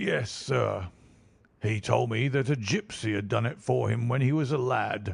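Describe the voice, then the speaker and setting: A man speaks at a moderate pace in a raspy put-on character voice, medium in pitch and very even in loudness. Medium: read story. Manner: plain-spoken, earnest.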